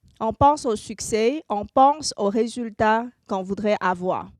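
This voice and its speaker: A woman's fairly high voice with a Chinese accent, at a very slow pace with ordinary pitch variation, in a very clean recording with a silent background and a dry, close sound with no echo. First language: Mandarin (speaking French). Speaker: marketing consultant and speaker. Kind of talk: conference talk.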